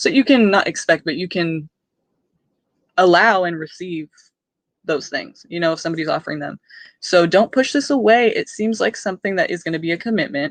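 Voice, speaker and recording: The speaker moves at a fairly quick pace but leaves long, frequent pauses. The background is quiet. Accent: American. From California. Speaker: tarot reader. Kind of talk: live stream tarot reading. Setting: live stream. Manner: fast; casual, filler-heavy.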